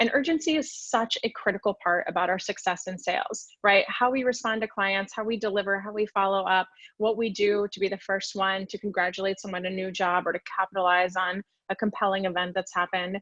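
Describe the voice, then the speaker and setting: A woman with an American accent, medium pitch, fairly quick pace and fairly even intonation, in a dry, close sound with no echo. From US South, Florida (Orlando). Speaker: sales expert, webinar speaker. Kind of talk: webinar presentation. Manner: fast.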